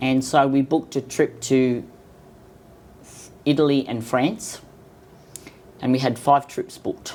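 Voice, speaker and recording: In an Australian accent, a woman talks at a fairly slow pace with long, frequent pauses. Her very deep, low pitch carries a dark, mellow tone and fairly even intonation. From Sydney, Australia. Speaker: cancer patient. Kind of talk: casual interview.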